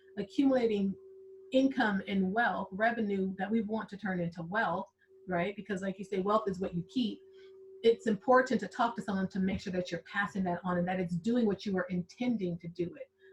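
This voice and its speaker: Against noticeable background noise, a woman with an American accent speaks fairly quickly at a medium pitch with fairly even intonation. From Southern California. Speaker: accountant, podcast host. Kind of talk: casual interview chat. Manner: conversational, many fillers.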